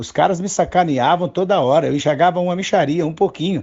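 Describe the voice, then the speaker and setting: A man is speaking. His pace is fairly quick. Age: 60s. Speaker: comedian and author. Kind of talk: interview. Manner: halting, many fillers.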